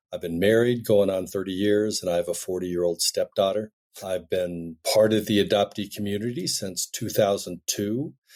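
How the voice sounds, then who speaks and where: In an American accent, a man speaks at a moderate pace with fairly low pitch and fairly even intonation in a plain, everyday voice, recorded very cleanly against a silent background. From US, Denver Colorado. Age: 60s. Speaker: filmmaker and adoptee. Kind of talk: podcast interview.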